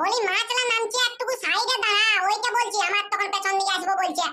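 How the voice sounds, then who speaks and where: This cartoonish character voice is female-sounding, squeaky, and extremely high in pitch. It moves at a moderate pace. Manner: bossy, brisk.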